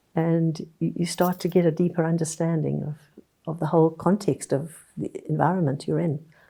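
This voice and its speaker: At a moderate pace, a woman speaks in a monotone, flat way, her fairly low voice dark and mellow with vocal fry. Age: 80s. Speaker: tree book author. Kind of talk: interview.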